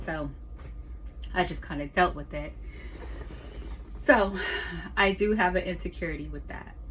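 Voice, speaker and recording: Audible room echo and noticeable background noise around a woman's voice. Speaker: vlogger. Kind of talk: casual monologue. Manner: pauses, bouts of silence.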